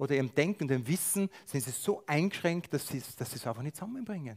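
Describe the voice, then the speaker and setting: This man has an ordinary speaking voice with a fairly high pitch. He talks at a fairly quick pace with lively intonation. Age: 50s. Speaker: lay preacher. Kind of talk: sermon.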